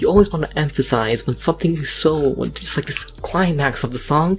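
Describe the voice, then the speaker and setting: Music plays in the background as the speaker talks at a very fast pace. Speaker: beat saber mapper. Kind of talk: casual tutorial narration.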